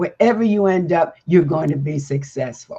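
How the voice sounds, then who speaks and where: This woman's voice is somewhat breathy, with a dark, mellow tone. Her pitch sits fairly low and varies in an ordinary way. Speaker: elder guest. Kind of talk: panel discussion.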